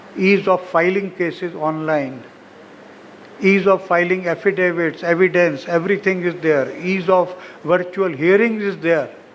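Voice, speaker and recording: Over noticeable background noise, a man with a high voice speaks at a fairly slow pace with fairly even intonation. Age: 80s+. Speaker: senior lawyer, guest of honour. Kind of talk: ceremonial speech. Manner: formal.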